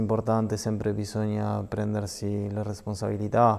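In a Spanish accent, a man talks at a fairly quick pace with a fairly low pitch and monotone, flat intonation. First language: Spanish (speaking Italian). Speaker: professional footballer; guest. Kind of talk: TV sports interview; interview answer. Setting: TV studio. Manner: halting. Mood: calm, thoughtful. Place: studio. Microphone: lapel.

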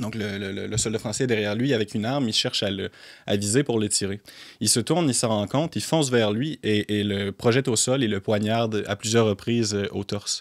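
Against a quiet background, a man with a fairly low pitch speaks at a fairly quick pace with ordinary pitch variation. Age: 20s. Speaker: film commentator and writer; film commentator. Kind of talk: casual interview. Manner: halting, many repeated words. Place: studio. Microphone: studio mic.

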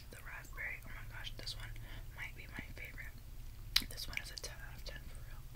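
The speech moves at a fairly quick pace but breaks into long, frequent pauses. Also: woman. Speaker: ASMR creator. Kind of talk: ASMR mukbang. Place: home room. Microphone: phone near.

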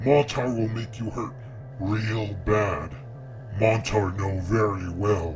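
Over loud background noise, a man speaks at a very slow pace. He uses a put-on character voice with a menacing tone. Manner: menacing, simple-minded, self-satisfied.

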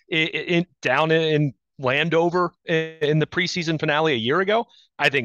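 A man speaks with fairly even intonation, the sound dry with no echo and the background quiet. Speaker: sports reporter guest. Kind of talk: interview answer. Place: home room. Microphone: headset.

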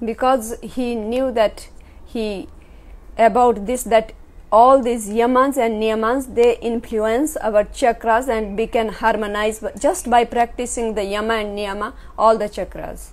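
Very slowly, a woman speaks. Her intonation stays fairly even. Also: fairly high pitch for a woman. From India, Himachal Pradesh. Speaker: yoga teacher. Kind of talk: lecture. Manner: short phrases paused for interpreter.

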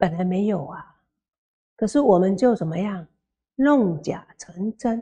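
Speaking at a very slow pace, a woman with a medium pitch and a dark, mellow tone uses lively intonation and big swings in loudness. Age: 60s. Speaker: Buddhist nun lecturer; Buddhist nun teacher. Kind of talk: sutra lecture. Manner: slow, many filler particles. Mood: warm, humorous.

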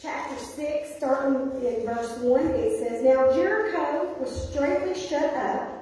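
In strong room echo, a woman with a high pitch talks at a fairly slow pace. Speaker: pastor. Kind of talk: scripture reading in sermon. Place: church. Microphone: camera far.

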